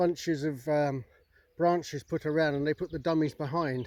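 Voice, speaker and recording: Relaxed in tone, a man with a fairly high pitch talks at a moderate pace with fairly even intonation. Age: 60s. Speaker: gundog trainer and dog owner. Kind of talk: casual vlog talk. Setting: outdoors. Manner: relaxed, hesitant with fillers.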